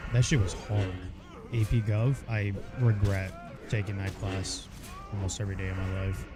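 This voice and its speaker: With an American accent and a fairly low pitch, a man speaks with long, frequent pauses. Music plays in the background, and there is audible room echo. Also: fairly even intonation, moderate pace. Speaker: video game streamer. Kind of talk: casual chat. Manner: monotone.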